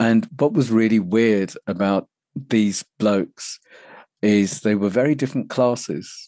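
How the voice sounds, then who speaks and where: A man with a British accent speaks at a fairly slow pace, medium in pitch with ordinary pitch variation and a dark, mellow tone. His loudness stays very even, and the sound is dry and close with no echo against a quiet background. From England (London). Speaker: men's personal development coach. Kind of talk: interview. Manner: gentle.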